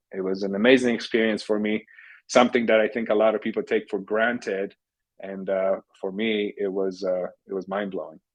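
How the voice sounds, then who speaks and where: A man with a fairly low voice speaks at a fairly quick pace with a Polish accent. His intonation is monotone and flat, and the background is quiet. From Poland, Warsaw. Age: 50s. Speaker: technology entrepreneur. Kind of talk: podcast interview.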